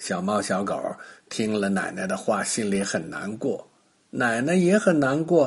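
A man's fairly low voice with a slightly husky edge, vocal fry, ordinary pitch variation and a fairly slow pace.

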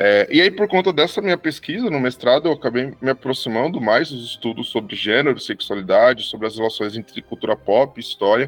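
With lively intonation and hardly any pauses, the speaker goes at a fairly quick pace in a dry, close sound with no echo, music playing in the background. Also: man, medium pitch for a man. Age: 30s. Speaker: historian. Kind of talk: interview.

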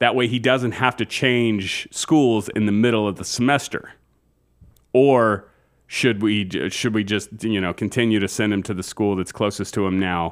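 With an ordinary speaking voice, a man talks at a moderate pace in a fairly low pitch and fairly even intonation. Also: very clean recording, silent background. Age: 40s. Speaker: podcast co-host. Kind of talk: casual chat.

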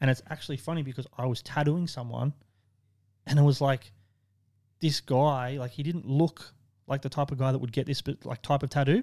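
A man with an Australian accent talks at a fairly quick pace in a fairly high pitch, with a dark, mellow tone, monotone, flat intonation and long, frequent pauses, in a dry, close sound with no echo. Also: very clean recording, silent background. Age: 30s. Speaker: tattoo shop owner. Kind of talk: casual chat. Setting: tattoo studio.

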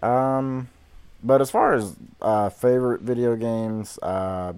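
A man with a Southern US accent speaks at a very slow pace and medium pitch. His intonation is lively, and the recording is very clean with a silent background. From Georgia, US Deep South. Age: 20s. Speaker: high school math teacher, podcast co-host. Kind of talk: casual chat.

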